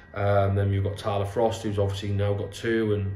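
Over music in the background and audible room echo, a man with a fairly low pitch speaks at a fairly quick pace. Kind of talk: interview answer. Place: home room.

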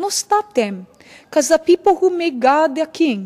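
Speaking at a fairly slow pace, a woman uses lively intonation. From Hawaii. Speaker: scripture reader. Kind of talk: scripture reading. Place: church. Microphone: podium.

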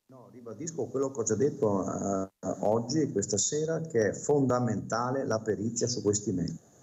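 A man speaks at a moderate pace with ordinary pitch variation and big swings in loudness over a quiet background. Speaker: local government official; remote guest. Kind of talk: TV debate. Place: office. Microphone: video call.

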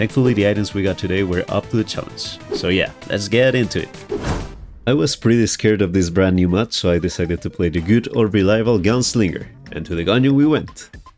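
A man speaks at a fairly low pitch with ordinary pitch variation. Music plays in the background. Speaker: gaming YouTuber. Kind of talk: gameplay commentary voice-over.

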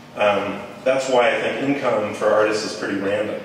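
The speech moves at a moderate pace. Strong room echo and light background noise color the recording. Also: man. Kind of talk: informal talk to an audience. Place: hall.

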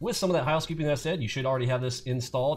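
A man talks in a somewhat breathy voice with ordinary pitch variation. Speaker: trading educator. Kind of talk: tutorial.

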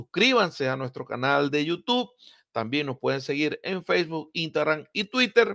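At a moderate pace, the voice swings very widely in pitch, with a dry, close sound and no echo. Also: man, fairly high pitch for a man. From Venezuela, Maracaibo (Zulia). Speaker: baseball podcast host. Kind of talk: sports news commentary podcast. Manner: hesitant fillers (eh, pues).

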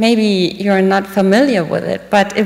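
A woman's fairly slow, monotone, flat delivery in a German accent. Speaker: diplomat. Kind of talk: speech. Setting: stage with audience. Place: hall. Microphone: podium.

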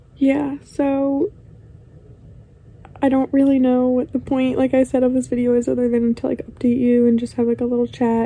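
A woman with an American accent speaks at a high pitch and moderate pace, with fairly even intonation and very even loudness, over noticeable background noise. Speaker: lifestyle vlogger. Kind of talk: casual chat.

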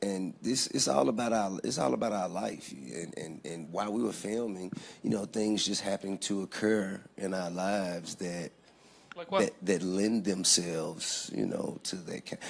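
This man's voice is very deep and low in pitch. He keeps a moderate pace with ordinary pitch variation. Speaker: interview guest. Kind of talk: interview answer. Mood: calm, measured. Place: studio. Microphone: handheld.

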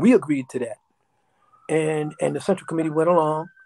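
A man with a New York accent, fairly quick pace, dark, mellow tone and fairly high pitch for a man. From New York, South Bronx. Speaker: interview guest. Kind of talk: interview storytelling. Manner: animated. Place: home room. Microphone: video call.

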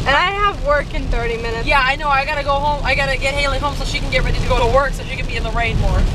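Through loud background noise, a woman speaks very fast, the sound dry with no echo. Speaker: vlogger. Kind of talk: casual vlog chat. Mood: playful, chatty. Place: car. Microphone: phone near.

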